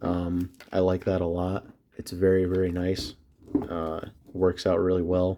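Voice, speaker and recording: With an American accent, a man speaks at a fairly slow pace in a very deep, low pitch, his dark, mellow tone held to a flat monotone. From US Northeast (central New York). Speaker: gun enthusiast vlogger. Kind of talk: casual talk. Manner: hesitant, many filler words.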